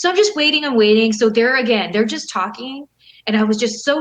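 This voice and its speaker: A woman with a Californian accent speaks in an animated tone at a fairly quick pace, with ordinary pitch variation. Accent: General American (Californian). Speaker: professional wrestler and model. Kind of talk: casual interview chat. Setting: video call.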